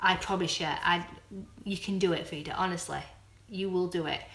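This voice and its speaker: Amid noticeable background noise and audible room echo, a woman with a Yorkshire accent talks at medium pitch and a moderate pace. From Doncaster, South Yorkshire, northern England. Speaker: vlogger. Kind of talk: casual chat. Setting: live stream. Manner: halting.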